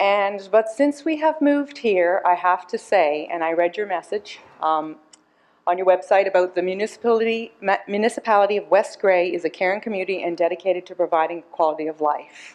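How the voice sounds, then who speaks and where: A woman talks at a fairly quick pace with a medium pitch and ordinary pitch variation. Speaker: resident delegate. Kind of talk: public delegation presentation. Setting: council chamber podium mic. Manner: loud.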